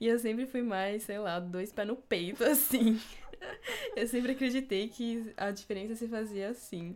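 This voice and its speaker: Against noticeable background noise, a woman with a fairly high pitch speaks at a fairly slow pace with fairly even intonation. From São Paulo city, Brazil. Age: 20s. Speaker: podcast co-host, architecture student. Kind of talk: casual chat.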